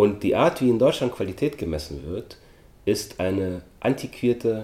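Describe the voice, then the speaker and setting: Very slow pace from a man with a fairly low pitch, a dark, mellow tone, and a somewhat breathy sound. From Austria. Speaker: actor and film producer. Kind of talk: interview.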